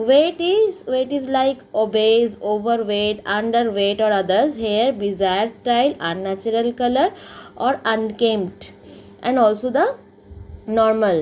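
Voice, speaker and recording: A woman speaks at a fairly slow pace with a fairly high pitch and ordinary pitch variation. Her loudness stays very even over noticeable background noise. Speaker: psychology teacher. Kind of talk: lecture. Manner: halting with fillers.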